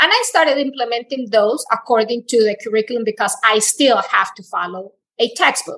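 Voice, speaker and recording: A woman with a Spanish accent, fairly high in pitch, bright and sharp in tone, at a fairly quick pace with ordinary pitch variation. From Colombia. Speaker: Spanish teacher. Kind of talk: interview, personal story.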